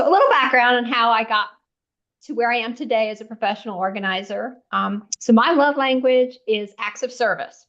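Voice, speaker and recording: A woman speaks at a fairly quick pace with ordinary pitch variation and a fairly high pitch. She has an unremarkable speaking voice. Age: 60s. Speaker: professional organizer. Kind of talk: interview.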